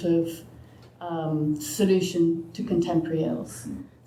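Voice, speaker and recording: A woman with a fairly low voice talks amid audible room echo. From England (Oxford). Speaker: sociologist and author. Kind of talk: panel discussion.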